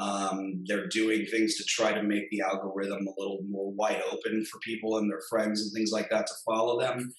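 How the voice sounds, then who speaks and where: A man's fairly low-pitched, monotone, flat delivery at a moderate pace against noticeable background noise. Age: 30s. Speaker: digital marketing agency founder. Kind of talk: casual interview.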